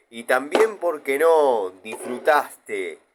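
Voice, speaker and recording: Using lively intonation, a man speaks at a very slow pace in a Rioplatense accent. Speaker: YouTuber tool reviewer. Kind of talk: mock infomercial. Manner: dramatic.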